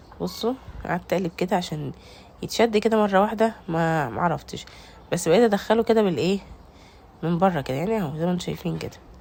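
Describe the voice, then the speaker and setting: With an Egyptian accent, a woman talks at a fairly quick pace in a medium pitch, with vocal fry and ordinary pitch variation. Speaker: home cooking vlogger. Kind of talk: cooking tutorial. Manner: casual, chatty.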